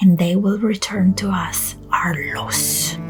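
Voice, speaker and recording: With music in the background, a soft-spoken woman whispers at a very slow pace. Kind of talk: bedtime story reading. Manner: soft-spoken, whispering.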